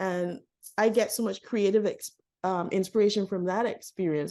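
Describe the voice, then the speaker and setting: Her dark, mellow tone sits at a medium pitch as a woman with a Barbadian accent speaks with ordinary pitch variation. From Barbados. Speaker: author and artist. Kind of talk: interview.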